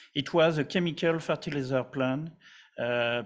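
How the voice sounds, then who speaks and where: A man talks in a French accent. His pace is fairly slow. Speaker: company representative presenting a project. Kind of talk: conference presentation. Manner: halting, many fillers and repetitions.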